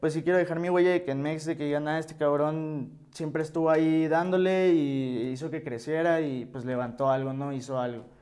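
In a room with audible echo, a man with a fairly high pitch and a dark, mellow tone talks with hardly any pauses and fairly even intonation. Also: moderate pace. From Mexico, Hermosillo, Sonora. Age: 20s. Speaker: rapper and music producer. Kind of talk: interview, casual chat.

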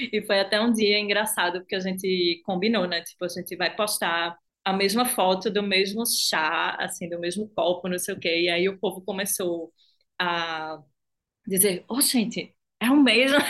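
A woman at a medium pitch speaks at a moderate pace with ordinary pitch variation against a quiet background. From Recife, Brazilian Northeast. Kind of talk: casual chat.

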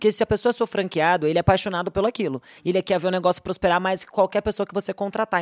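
Over a quiet background, a woman speaks at a very fast pace with a medium pitch and fairly even intonation, in a dry, close sound with no echo. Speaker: podcast host, finance executive. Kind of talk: interview.

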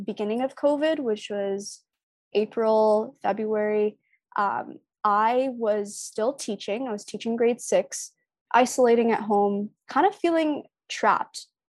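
Speaking with a Canadian accent in a normal speaking voice, a woman talks at a fairly slow pace with a fairly high pitch and ordinary pitch variation on a very clean recording with a silent background. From Canada, Toronto area (Scarborough, Markham). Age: 20s. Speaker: sneaker artist. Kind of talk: casual interview chat.

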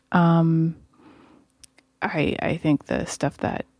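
Soft-spoken speech comes through with a dry, close sound and no echo. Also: woman. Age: 20s. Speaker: podcast co-host, host's wife. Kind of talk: casual chat. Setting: home studio.

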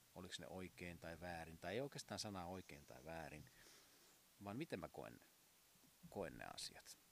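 With a very deep, low pitch and vocal fry, a man speaks with lively intonation and long, frequent pauses. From southern Finland, Uusimaa region. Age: 40s. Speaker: podcast host, masseur and piano tuner. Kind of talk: casual monologue. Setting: outdoors on home terrace.

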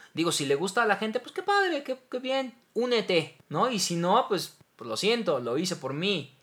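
A man with a Mexican accent talks at a moderate pace. His voice is high, with very wide pitch swings. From Mexico. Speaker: voice actor. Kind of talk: casual chat.

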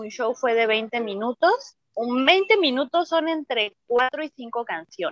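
Lively in intonation, the speaker goes at a fairly slow pace with hardly any pauses, in a dry, close sound with no echo. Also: woman, high pitch for a woman. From Mexico. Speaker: belly dancer. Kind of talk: interview.

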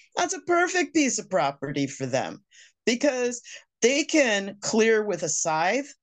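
Using vocal fry, a woman speaks at a fairly slow pace with very wide pitch swings. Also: fairly high pitch for a woman, quiet background. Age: 60s. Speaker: homesteader. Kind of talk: interview.

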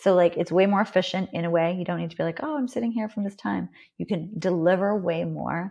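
A woman with a Canadian accent talks at a very fast pace, at medium pitch with ordinary pitch variation and some vocal fry. The background is quiet. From Canada. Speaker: packaged food and beverage consultant. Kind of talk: casual interview conversation.

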